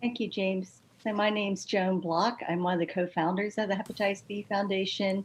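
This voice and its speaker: At a fairly quick pace and with hardly any pauses, a woman speaks in a medium pitch, somewhat breathy, with monotone, flat intonation. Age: 60s. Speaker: patient advocate, retired nurse. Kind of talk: panel discussion testimony.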